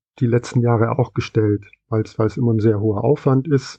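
A man speaks with fairly even intonation at a medium pitch. He has an unremarkable speaking voice. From West Germany. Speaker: comic shop employee. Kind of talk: interview.

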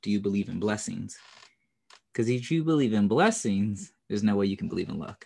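A man with a fairly low pitch talks at a fairly quick pace in an ordinary speaking voice. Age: 30s. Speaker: podcast host. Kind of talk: casual chat.

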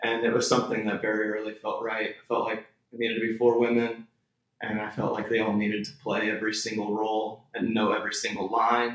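The speaker is a man with an American accent. His pitch is medium and his intonation is monotone and flat. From Texas panhandle. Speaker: theatre director and playwright. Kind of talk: casual interview.

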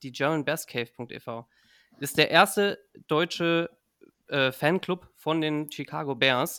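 This man has a fairly high voice with a bright, sharp tone, fairly even intonation and big swings in loudness. The very clean recording has a silent background and a dry, close sound with no echo. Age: 20s. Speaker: podcast host. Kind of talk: casual chat.

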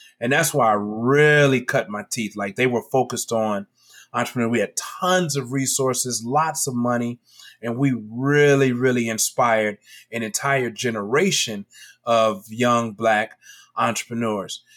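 In an American accent, a man talks with a normal speaking voice at a medium pitch, ordinary pitch variation and a fairly slow pace. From Chicago, South Side. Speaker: educator and entrepreneur. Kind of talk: casual interview.

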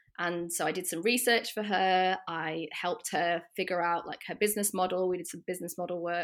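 A woman at a fairly quick pace with hardly any pauses and fairly even intonation, on a very clean recording over a silent background. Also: fairly low pitch for a woman. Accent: northern English. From northern England. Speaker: portrait photographer. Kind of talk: casual interview chat.

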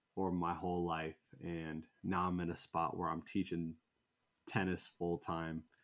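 In a very clean recording with a silent background, a man with a very deep, low pitch speaks at a fairly slow pace in a monotone, flat way with a Midwestern American accent. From US Midwest (Indiana). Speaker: sneaker content creator and tennis coach. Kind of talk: casual chat. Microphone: very close to the camera.

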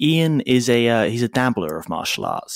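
At a moderate pace, a man talks at medium pitch in an unremarkable speaking voice. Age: 20s. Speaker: podcast host. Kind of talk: casual interview chat.

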